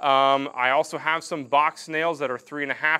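The man's speech moves at a moderate pace. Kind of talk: tutorial. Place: garage.

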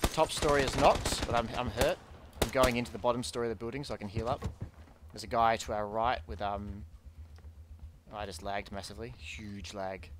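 With loud background noise but a dry sound and no echo, a man with a fairly low voice talks at a fairly quick pace, broken by long, frequent pauses. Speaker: gamer. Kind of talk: casual gameplay commentary with teammate. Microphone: headset.

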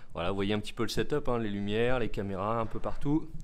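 A man talks with lively intonation. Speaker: show host giving tour. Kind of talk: casual vlog chat. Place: studio. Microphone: phone near.

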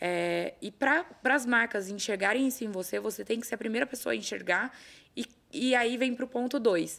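A woman speaks at a moderate pace with vocal fry and ordinary pitch variation. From São Paulo state, Brazil (São José do Rio Preto); São Paulo, Brazil. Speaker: talent agency owner, former lawyer; former lawyer. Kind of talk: casual interview chat. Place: studio. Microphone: studio mic.

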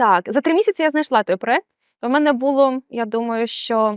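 A woman with an unremarkable speaking voice talks at a fairly slow pace with lively intonation. The sound is dry and close, with no echo. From Ukraine, Odesa region. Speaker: QA automation tester. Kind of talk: interview. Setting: in person in Warsaw.

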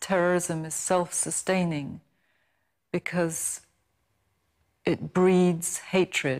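A woman's fairly low voice at a very slow pace against a quiet background. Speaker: journalist, former hostage. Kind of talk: interview answer. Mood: calm, reflective, serious. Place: studio.

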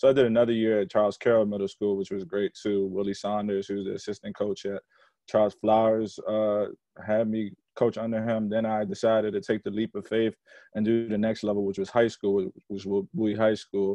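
A man's fairly low, monotone voice with flat intonation at a fairly quick pace, dry with no echo over a quiet background. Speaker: basketball coach, guest. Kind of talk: interview answer. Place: home room. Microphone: video call.

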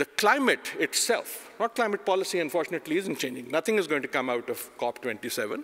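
Very wide pitch swings in a man's speech. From Pakistan. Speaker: professor. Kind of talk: conference talk. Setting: stage with audience. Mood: provocative, wry. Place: hall. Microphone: podium.

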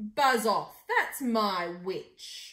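A woman puts on a character voice that is croaky, growling and shrill. The pitch sits fairly high. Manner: gruff, menacing.

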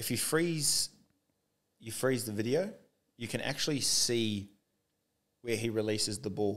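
A man speaks with an Australian accent against a quiet background. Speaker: podcast co-host. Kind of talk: casual chat. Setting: studio. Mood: relaxed, joking banter. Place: studio. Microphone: studio mic.

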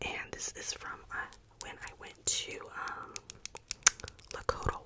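A soft-spoken woman's whisper at a fairly slow pace. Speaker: content creator. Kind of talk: soft show-and-tell chat. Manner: soft close-mic ASMR whisper. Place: home room. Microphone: studio mic.

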